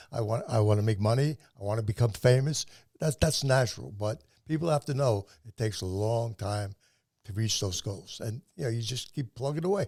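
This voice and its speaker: A somewhat breathy man talks at a medium pitch and a fairly quick pace with ordinary pitch variation. The sound is dry and close with no echo, on a very clean recording with a silent background. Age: 80s+. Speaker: podcast host and self-published author. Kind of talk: interview. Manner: stammering repetitions.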